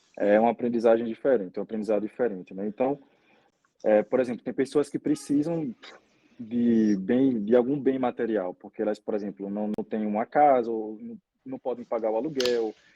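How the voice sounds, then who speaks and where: A man with a plain, everyday voice speaks at a medium pitch and a moderate pace, his intonation fairly even. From Brazil, Aracaju, Sergipe. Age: 20s. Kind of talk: interview conversation.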